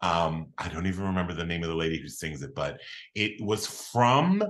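A man with an American accent, fairly low in pitch, fairly quick, animated in tone and lively in intonation. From Philadelphia, Pennsylvania. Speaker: comedian and writer. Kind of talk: casual chat.

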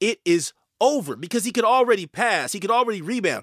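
A man's high-pitched, animated voice at a fairly quick pace, with a dry, close sound, no echo, and a very clean recording over a silent background. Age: 40s. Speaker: sports podcast host. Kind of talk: casual sports talk.

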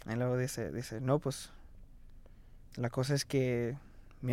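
In a very clean recording with a silent background, a man with a dark, mellow tone talks fairly slowly in a monotone, flat delivery. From Fort Myers, Florida, US. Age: 20s. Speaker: interviewee sharing coming-out story. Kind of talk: testimony. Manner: code-switching between Spanish and English.

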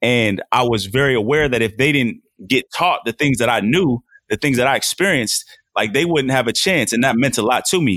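A man with a plain, everyday voice and an American accent, medium pitch, ordinary pitch variation, a fairly quick pace and very even loudness, in a dry, close sound with no echo. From Portland, Oregon. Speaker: former football player and mentorship coach. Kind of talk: casual interview.

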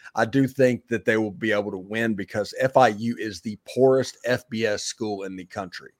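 With a plain, everyday voice at medium pitch, a man talks with hardly any pauses, fairly even intonation and big swings in loudness, in a very clean recording with a silent background and a dry, close sound with no echo. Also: moderate pace. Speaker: podcast co-host. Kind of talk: casual sports talk show banter.

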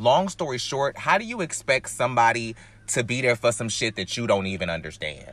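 With an American accent and vocal fry, a man talks at a fairly quick pace and medium pitch, his voice making very wide pitch swings. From US South, North Carolina. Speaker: podcast host. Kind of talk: casual chat. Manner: animated.

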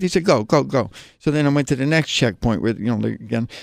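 In a very clean recording with a silent background and a dry, close sound with no echo, a man talks at a fairly quick pace with ordinary pitch variation. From New Jersey suburb, US. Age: 60s. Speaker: masters track runner and recovering addict. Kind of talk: interview testimony. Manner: halting, many fillers and restarts.

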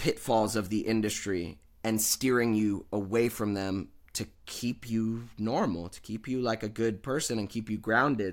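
In a very clean recording with a silent background, a man with an American accent talks at a fairly slow pace in an ordinary speaking voice, medium in pitch with ordinary pitch variation. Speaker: actor and podcaster. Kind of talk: casual interview chat.

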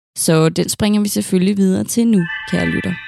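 Her voice sits at medium pitch with a dark, mellow tone and lively intonation. The woman speaks at a fairly slow pace in a dry, close sound with no echo. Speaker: historian podcast host. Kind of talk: true-crime narration. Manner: dramatic, gripping storytelling; measured, deliberate, serious.

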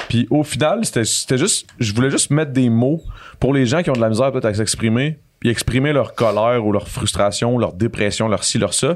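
Speaking at a fairly quick pace with a Quebec accent, a man keeps his loudness very even, using a medium pitch and ordinary pitch variation. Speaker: real estate investor. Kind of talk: casual chat. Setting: studio.

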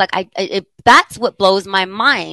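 Recorded dry and close with no echo over a quiet background, a woman speaks at a medium pitch with a bright, sharp tone and ordinary pitch variation. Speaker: podcast co-host. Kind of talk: casual chat. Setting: studio.

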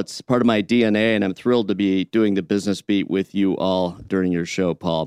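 In a normal speaking voice with an American accent, the speaker talks at a fairly quick pace with fairly even intonation, recorded with a dry, close sound with no echo against a quiet background. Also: man. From Michigan (Detroit area). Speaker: business radio correspondent, startup founder. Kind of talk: radio business segment. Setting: radio broadcast.

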